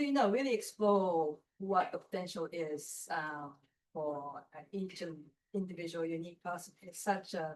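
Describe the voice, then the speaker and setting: Speaking with a Japanese accent, a woman with a fairly low pitch uses lively intonation and big swings in loudness. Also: moderate pace. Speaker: architecture writer and mentor. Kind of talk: panel discussion. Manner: halting, many fillers.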